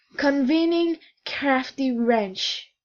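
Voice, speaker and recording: In a put-on character voice, a woman growls at a high pitch. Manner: growling.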